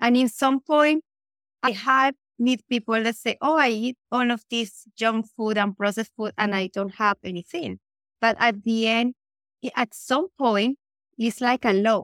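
A woman with a Colombian accent, fairly high pitch, ordinary pitch variation, and fairly slow pace, in a dry, close sound with no echo. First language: Spanish. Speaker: nutritionist. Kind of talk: casual interview chat.

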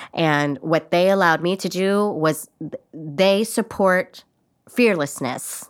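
A woman's ordinary speaking voice at medium pitch, with an American accent, a fairly slow pace and a very clean recording over a silent background. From Los Angeles, California. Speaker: theater maker and songwriter. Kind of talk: casual interview. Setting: studio.

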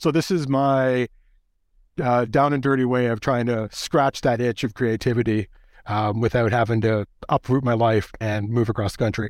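A man with a Canadian accent speaks in a plain, everyday voice at medium pitch and a moderate pace, his intonation fairly even and his loudness very even, in a dry, close sound with no echo. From Canada. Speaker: toy photographer and educator. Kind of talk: casual interview. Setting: video call.

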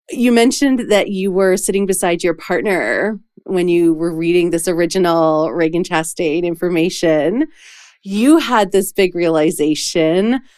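A woman with an ordinary speaking voice and a fairly low pitch speaks at a fairly slow pace, with ordinary pitch variation. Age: 40s. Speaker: podcast host and professional coach. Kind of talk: casual chat.

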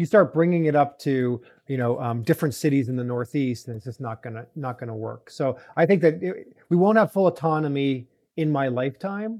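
A man with a normal speaking voice talks at a fairly quick pace and fairly high pitch, with lively intonation and big swings in loudness. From Canada (Toronto). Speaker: venture capital investor, auto industry executive. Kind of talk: interview.

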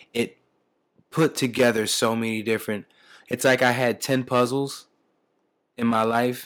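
A man with a New Jersey accent, medium-pitched and monotone with flat intonation, at a moderate pace on a very clean recording with a silent background. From US Northeast, Camden, New Jersey. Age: 40s. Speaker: retired police officer, law of attraction speaker. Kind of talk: interview.

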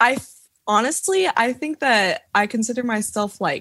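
A woman speaks in a slight Southern US accent with a bright, sharp tone and lively intonation. Her pace is moderate, and the sound is dry and close with no echo. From Tennessee, US South. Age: 20s. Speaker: TikTok creator, college student. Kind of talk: casual chat.

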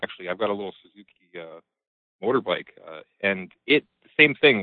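In a Canadian accent, a man speaks at a fairly quick pace. He has a normal speaking voice with lively intonation. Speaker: caller, Jeep owner. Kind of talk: call-in chat. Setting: phone call.

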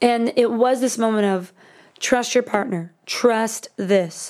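A woman's ordinary speaking voice, fairly high in pitch, at a fairly slow pace with fairly even intonation, in a very clean recording with a silent background. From Miami, Florida. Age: 20s. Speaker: songwriter. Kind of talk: casual chat.

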